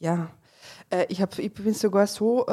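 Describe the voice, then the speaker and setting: A woman's medium-pitched voice with a dark, mellow tone, in a dry, close sound with no echo. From Carinthia, Austria (rural, Ludmersdorf). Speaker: politician and organic farmer. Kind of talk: casual interview chat. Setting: restaurant table.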